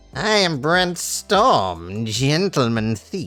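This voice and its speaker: A put-on character voice in a low-to-middle pitch, swinging very widely in pitch. It moves at a very slow pace over faint background music. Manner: suave.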